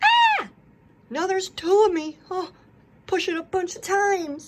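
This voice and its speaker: Using a put-on character voice, a woman talks at a moderate pace in an extremely high pitch. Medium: read story. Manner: chatty, playful.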